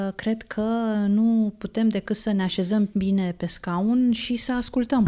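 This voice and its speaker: A woman's fairly high voice has a dark, mellow tone, very even loudness, fairly even intonation and a very slow pace. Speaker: radio host. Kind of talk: radio interview. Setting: radio studio.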